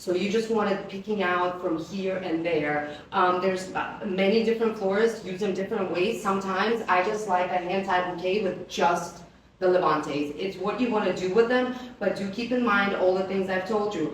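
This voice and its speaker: A woman with a non-native accent speaks at medium pitch and a moderate pace, with fairly even intonation and hardly any pauses. Noticeable background noise and audible room echo are present. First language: not English. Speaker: flower company presenter. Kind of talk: live product presentation. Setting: live stream on camera. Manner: casual, chatty.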